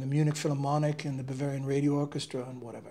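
A man's somewhat breathy, dark, mellow voice, fairly high in pitch. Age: 50s. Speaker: trumpet player. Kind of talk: casual monologue to camera. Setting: home studio. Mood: relaxed storytelling. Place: home room. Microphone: lapel.

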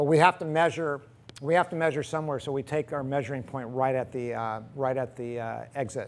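Fairly quick male speech showing ordinary pitch variation. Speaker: equipment demonstrator. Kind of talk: tutorial. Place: workshop.

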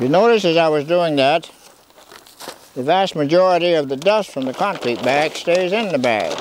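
A man speaks at a moderate pace, his pitch high and his pitch variation ordinary. Light background noise sits behind him. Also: dry sound with no echo. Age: 80s+. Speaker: older do-it-yourself concrete demonstrator. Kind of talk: instructional product demonstration to camera. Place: garden.

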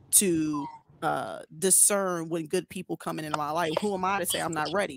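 A woman speaks at a moderate pace with a low pitch, ordinary pitch variation and vocal fry, in a dry, close sound with no echo.

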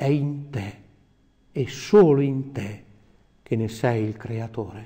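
The voice has a dark, mellow tone and a very slow pace. The background is quiet. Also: man. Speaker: priest. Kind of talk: sermon. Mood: calm, devout, solemn. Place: office.

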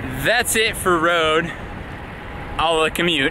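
A man at a moderate pace, dry sound with no echo, and noticeable background noise. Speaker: cyclist vlogger. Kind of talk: casual vlog chat. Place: bicycle. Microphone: phone near.

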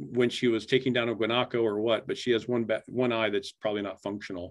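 Here a man speaks with a Midwestern American accent at a medium pitch. The background is quiet. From Iowa. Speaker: photographer and poet, creative writing professor. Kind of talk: artist talk presentation. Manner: casual. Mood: relaxed, enthusiastic. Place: home room. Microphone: webcam.

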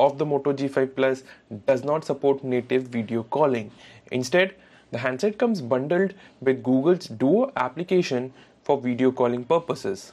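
A man speaks at a moderate pace with few pauses, his medium pitch moving with ordinary variation and his tone slightly mellow.

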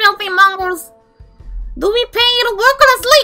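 A put-on character voice at an extremely high pitch, with faint music in the background. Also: moderate pace. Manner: harsh, scolding, squealing.

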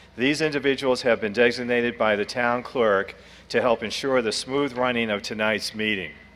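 With ordinary pitch variation, a man speaks at a moderate speed. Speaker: meeting moderator. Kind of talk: formal meeting announcements. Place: hall. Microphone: podium.

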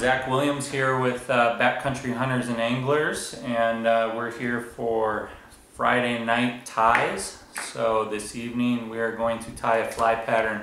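A man's flat, monotone delivery at a fairly slow pace, with audible room echo and noticeable background noise. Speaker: guest. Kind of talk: tutorial. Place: home room. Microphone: camera far.

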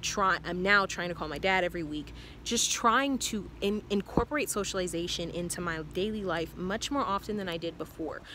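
A woman speaks at a fairly quick pace with hardly any pauses and ordinary pitch variation over light background noise. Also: dry sound with no echo. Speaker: vlogger. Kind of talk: casual vlog chat. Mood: earnest, reflective. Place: garden. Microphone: phone near.

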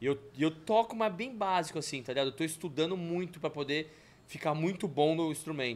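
The speaker keeps a moderate pace. The intonation is lively. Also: man. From Brazil, São Paulo city. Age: 40s. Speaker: film and TV producer; podcast guest. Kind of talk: casual interview chat. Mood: relaxed, animated storytelling. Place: studio. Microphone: studio mic.

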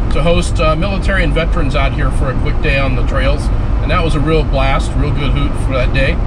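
Over loud background noise, the speaker talks at a fairly quick pace. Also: man. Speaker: off-road vlogger. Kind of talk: casual vlog chat. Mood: upbeat, relaxed. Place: car. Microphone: camera far.

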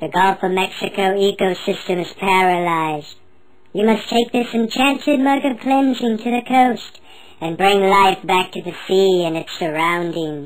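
A female-sounding, cartoonish character voice at medium pitch comes through over light background noise. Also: moderate pace. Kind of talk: solemn divine pronouncement. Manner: grand, commanding, deadpan.

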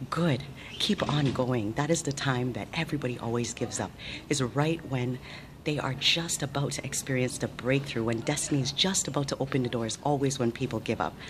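This woman's voice has a very deep, low pitch and ordinary pitch variation. She moves at a fairly quick pace over noticeable background noise. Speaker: motivational vlogger. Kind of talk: motivational talk to camera. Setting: hospital surgery preadmission. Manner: whispered. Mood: warm, upbeat, encouraging. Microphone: phone near.

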